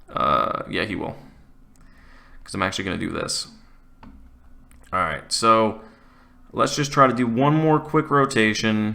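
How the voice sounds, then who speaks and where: Speaking at medium pitch with a bright, sharp tone, a man goes at a fairly slow pace with ordinary pitch variation and long, frequent pauses. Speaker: gaming YouTuber. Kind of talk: gameplay commentary. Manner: mumbling; casual, conversational.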